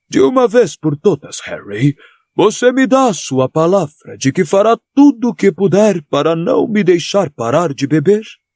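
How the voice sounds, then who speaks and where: Putting on a character voice, a man speaks at a high pitch. His pace is fairly slow. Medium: read story.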